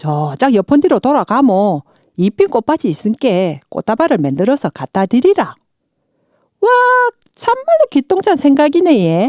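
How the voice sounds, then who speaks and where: In a South Gyeongsang accent, a woman speaks at a fairly slow pace in a high pitch with very wide pitch swings, a dark, mellow tone and very even loudness, her long, frequent pauses captured in a dry, close sound with no echo. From Hadong, South Gyeongsang, South Korea. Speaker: non-professional local resident voice performer. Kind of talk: fairy tale narration.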